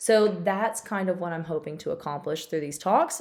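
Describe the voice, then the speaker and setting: A woman speaks in a Tennessee accent. Her pitch is fairly low. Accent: Tennessee Southern. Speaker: physical therapist. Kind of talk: casual informational talk to camera. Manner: chatty.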